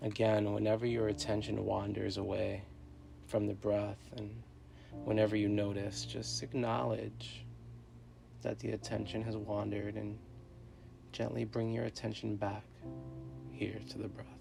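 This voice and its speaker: A man talks at a moderate pace, with long, frequent pauses, over noticeable background noise. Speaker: meditation guide. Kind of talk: guided meditation.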